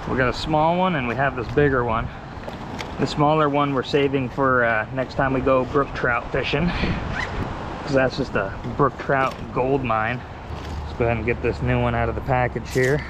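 Noticeable background noise surrounds a man speaking at a moderate pace with ordinary pitch variation. The sound is dry, with no echo. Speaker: angler vlogger. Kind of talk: casual vlog chat. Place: waterside. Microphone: phone near.

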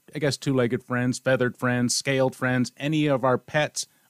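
A man's medium-pitched voice at a moderate pace, very cleanly recorded against a silent background, with a dry, close sound and no echo. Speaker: radio show host. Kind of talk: promotional interview. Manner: enthusiastic.

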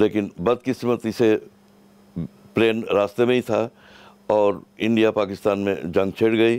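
Speaking very slowly with long, frequent pauses, a man keeps a fairly low pitch, fairly even intonation and very even loudness in a dry sound with no echo. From East Pakistan (Rajshahi), now Bangladesh; East Pakistan. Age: 70s. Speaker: former student militia member, eyewitness; witness. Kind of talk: interview. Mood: firm, opinionated. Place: home room. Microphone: headset.

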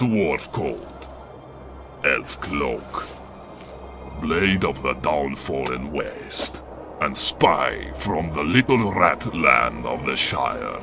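At a very slow pace, a man performs a put-on character voice with clear background noise present. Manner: mocking, insolent.

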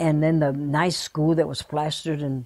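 A woman's very deep, low voice with a dark, mellow tone at a moderate pace over a quiet background. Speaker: interviewee. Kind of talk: interview answer. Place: home room.

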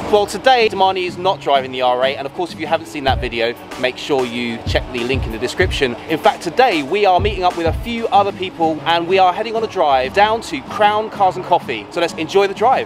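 Over clear background music, a man speaks very fast with hardly any pauses in a dry sound with no echo. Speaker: vlogger. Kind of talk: casual vlog chat. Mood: cheerful, excited. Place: car.

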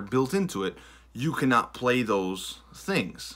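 Against a quiet background, a man talks with an American accent. His pace is fairly slow. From US Midwest, Michigan. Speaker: vlogger. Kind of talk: casual vlog talk to camera. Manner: hesitant, many fillers and self-corrections. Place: home room. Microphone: phone near.

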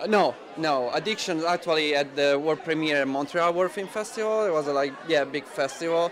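Noticeable background noise sits behind a man with an Italian accent. He talks at a fairly quick pace with hardly any pauses and ordinary pitch variation. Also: fairly high pitch for a man. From Italy, Rome. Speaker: film director. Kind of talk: interview. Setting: film festival. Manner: halting, many fillers. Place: hall. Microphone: handheld.

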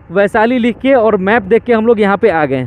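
The speech moves at a moderate pace over light background noise. The sound is dry, with no echo. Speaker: motovlogger. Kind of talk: casual vlog chat. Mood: frustrated, regretful. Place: motorbike. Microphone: helmet.

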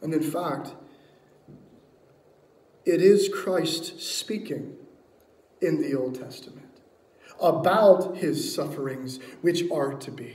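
In a room with strong echo, a man talks slowly with a fairly high pitch, a slightly mellow tone and ordinary pitch variation, leaving long, frequent pauses.

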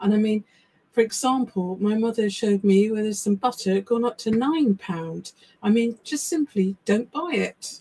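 A woman speaks at a moderate pace in an English accent, with ordinary pitch variation. Her tone is dark and mellow, and somewhat breathy. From England. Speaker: psychic medium and live show co-host; live show co-host. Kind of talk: casual live chat. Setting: live stream from small home office. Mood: warm, sympathetic. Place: home room.

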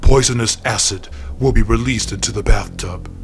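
Over clear background music, a man does a menacing put-on character voice at a fairly low pitch and a fairly slow pace. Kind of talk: comic horror parody. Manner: slow, menacing, ominous announcements.

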